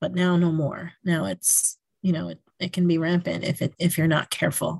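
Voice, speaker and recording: In an American accent, a woman talks at a moderate pace with fairly even intonation. Her voice is somewhat breathy, recorded dry and close with no echo. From New York, Yonkers. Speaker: school principal. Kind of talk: interview.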